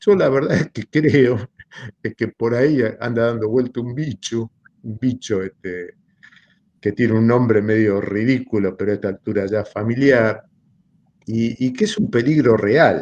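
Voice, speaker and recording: An ordinary speaking voice at a fairly slow pace, with ordinary pitch variation and a dry, close sound with no echo. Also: man, medium pitch for a man. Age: 60s. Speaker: philosophy lecturer. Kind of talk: seminar talk.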